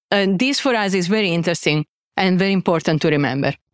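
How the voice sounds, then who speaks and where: A woman speaks at a fairly quick pace in an Italian accent. The sound is dry and close with no echo. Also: very clean recording, silent background. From Italy. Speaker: biotech CEO and scientist. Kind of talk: conference talk. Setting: stage with audience.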